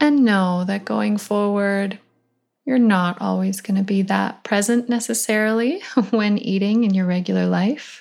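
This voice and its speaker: A woman with a normal speaking voice, medium pitch, fairly slow pace and fairly even intonation, on a very clean recording with a silent background. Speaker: nutritionist podcast host. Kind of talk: guided meditation. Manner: slow, calm, soothing.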